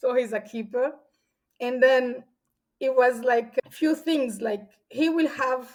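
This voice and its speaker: A loud woman's voice, high in pitch, with ordinary pitch variation, a fairly slow pace and long, frequent pauses. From Central Africa (São Tomé, Gabon, Equatorial Guinea). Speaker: podcast guest. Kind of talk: casual interview chat.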